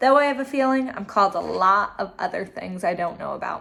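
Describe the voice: The intonation rises and falls in a lively way. Otherwise, it is plain reading aloud.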